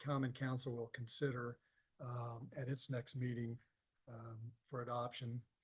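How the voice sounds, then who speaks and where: At a moderate pace, a man speaks at a medium pitch in a somewhat breathy voice. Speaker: city economic development advisor presenting bond documents. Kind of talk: public meeting presentation. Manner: halting, many fillers (uh, um).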